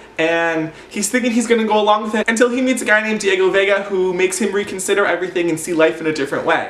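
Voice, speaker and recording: A man with a high voice talks at a very fast clip in an animated tone, with ordinary pitch variation, hardly any pauses and noticeable background noise. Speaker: book vlogger. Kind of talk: casual chat.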